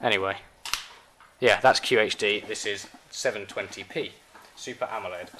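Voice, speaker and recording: A man with a British accent and long, frequent pauses. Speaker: tech reviewer. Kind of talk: product review. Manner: fast.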